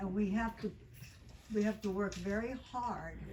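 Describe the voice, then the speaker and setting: A woman's very slow speech comes with audible room echo and clear background noise. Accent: American. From US South, Miami Beach, Florida. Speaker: psychotherapist and author. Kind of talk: book talk to audience. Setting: bookstore event with audience. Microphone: speaking without a microphone.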